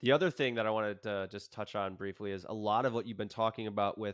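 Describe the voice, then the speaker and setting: A man with a normal speaking voice, a fairly low pitch and fairly even intonation. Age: 30s. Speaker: yoga instructor and podcast host. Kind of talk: casual interview chat.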